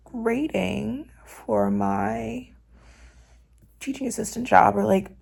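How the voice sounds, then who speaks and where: Music plays in the background while a woman speaks at a very slow pace. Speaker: student vlogger. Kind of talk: casual vlog narration. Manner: casual, chatty.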